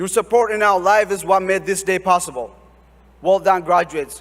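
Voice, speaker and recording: A man with a high pitch, fairly even intonation and a moderate pace. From Ethiopia, Oromia region. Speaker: graduating student speaker. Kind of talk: commencement speech. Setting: stage with audience. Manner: formal.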